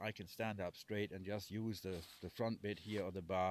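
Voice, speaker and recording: A man speaks in a monotone, flat intonation at a moderate pace with a fairly low pitch. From Germany. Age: 60s. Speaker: homesteader. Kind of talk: casual talk to camera. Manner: halting, repeats words.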